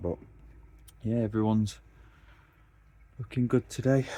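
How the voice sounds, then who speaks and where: In a strong Derbyshire accent, the speaker has a relaxed, dark, mellow tone and fairly even intonation. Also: man. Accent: thick Derbyshire. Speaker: koi keeper vlogger. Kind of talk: casual vlog narration. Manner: relaxed, halting with fillers.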